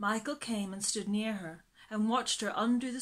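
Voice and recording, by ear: The clip is reading aloud in a natural voice.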